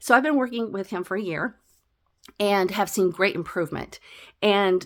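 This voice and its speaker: In a normal speaking voice, a woman talks with lively intonation. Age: 60s. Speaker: fitness trainer. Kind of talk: personal testimony vlog. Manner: casual, conversational with fillers.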